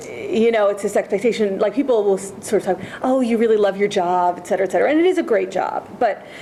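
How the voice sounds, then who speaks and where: The talking is very fast. Background noise is noticeable throughout. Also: woman. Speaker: history professor on a faculty panel. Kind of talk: panel talk. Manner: loud; emphatic. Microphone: speaking without a microphone.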